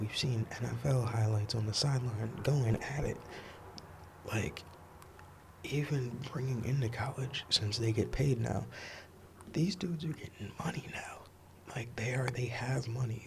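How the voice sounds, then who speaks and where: A soft-spoken man in a relaxed tone, medium pitch and ordinary pitch variation, at a fairly slow pace with long, frequent pauses, amid noticeable background noise. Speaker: sports commentator, content creator. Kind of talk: ASMR sports commentary ramble, casual talk to camera. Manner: soft-spoken, relaxed.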